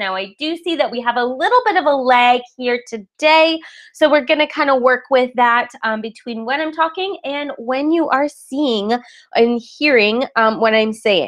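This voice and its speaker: A woman's high-pitched voice with lively intonation. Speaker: webinar presenter and online marketing coach. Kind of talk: live webinar presentation. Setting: live online webinar broadcast. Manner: fast.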